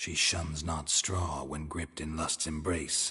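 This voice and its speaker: A man growls in a put-on character voice at a very deep, low pitch, with monotone, flat intonation and a fairly slow pace. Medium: video game. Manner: laconic, dry, low-key.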